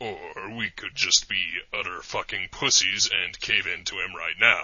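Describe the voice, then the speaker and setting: A man puts on a character voice and keeps to a moderate pace. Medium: audio drama. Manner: deadpan, sardonic.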